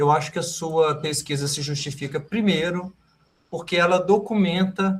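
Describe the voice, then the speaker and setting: A man with a high voice talks at a fairly slow pace. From Brazil, interior of Minas Gerais. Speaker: professor, examination committee member. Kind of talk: academic thesis examination feedback.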